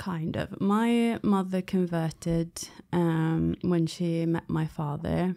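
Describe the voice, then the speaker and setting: A woman with a British accent speaks very slowly in a fairly low, dark and mellow voice with fairly even intonation, recorded very cleanly against a silent background. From England, London. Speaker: former Jehovah's Witness. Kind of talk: interview. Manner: hesitant, many fillers.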